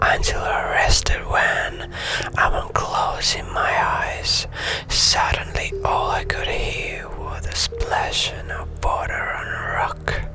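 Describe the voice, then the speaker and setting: With music in the background, a man whispers at a very slow pace. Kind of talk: ASMR story reading. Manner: whispered, soft-spoken.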